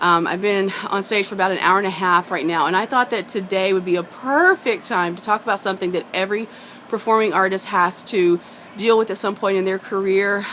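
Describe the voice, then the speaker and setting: With ordinary pitch variation, a woman talks at a fairly quick pace. Noticeable background noise runs underneath. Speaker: singer and performer. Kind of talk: casual talk to camera. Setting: outdoors behind a pub.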